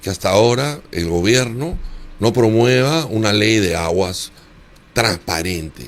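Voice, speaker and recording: A man speaks at a medium pitch. His voice swings very widely in pitch. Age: 70s. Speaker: former congressional candidate. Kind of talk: interview.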